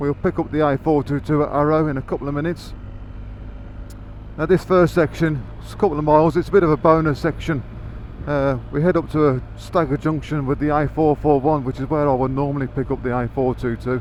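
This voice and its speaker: A man's fairly high voice in a Birmingham accent, fairly quick and fairly even in intonation, with noticeable background noise. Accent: Birmingham area. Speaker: motorcycle vlogger. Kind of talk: motorcycle ride commentary. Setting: on a motorcycle on the road.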